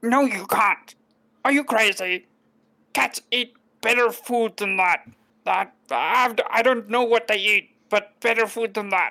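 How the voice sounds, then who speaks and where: The speaker uses a put-on character voice pitched fairly high. The delivery comes at a fairly slow pace. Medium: actual play.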